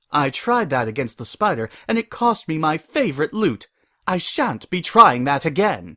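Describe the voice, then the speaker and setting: Using a put-on character voice, a man speaks at a fairly high pitch and moderate pace with very wide pitch swings. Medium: read story. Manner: posh, proper.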